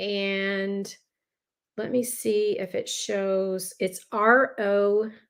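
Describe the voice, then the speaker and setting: This voice speaks at a very slow pace in a Texan accent. Its intonation is monotone and flat. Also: woman, medium pitch for a woman. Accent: Texan American. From Texas. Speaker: lifestyle planning vlogger. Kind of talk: live stream tutorial. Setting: live stream video. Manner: casual, chatty.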